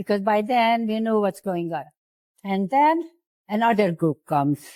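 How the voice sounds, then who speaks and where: Recorded very cleanly against a silent background, with a dry, close sound and no echo, a woman with a dark, mellow tone and medium pitch speaks fairly slowly, her intonation lively. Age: 80s+. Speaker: Holocaust survivor. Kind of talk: interview answer.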